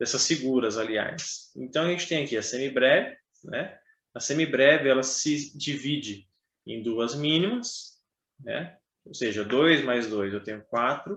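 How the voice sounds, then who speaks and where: Pitch moves in an ordinary way, at a fairly slow pace. It is an ordinary speaking voice. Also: man, fairly high pitch for a man. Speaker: trumpet teacher. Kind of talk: online music lesson. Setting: online video class.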